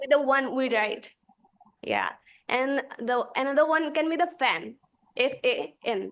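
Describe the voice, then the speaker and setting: A woman's high-pitched voice in a non-native accent, lively in intonation, fairly slow and broken by long, frequent pauses. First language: not English. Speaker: student. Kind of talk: question in class. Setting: video call.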